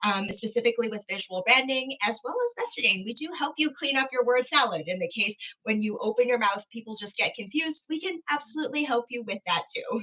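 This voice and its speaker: A woman's high voice at a fairly quick pace, lively in intonation, with hardly any pauses. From Vancouver, Canada. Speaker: personal branding expert. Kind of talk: interview answer. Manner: upbeat, enthusiastic.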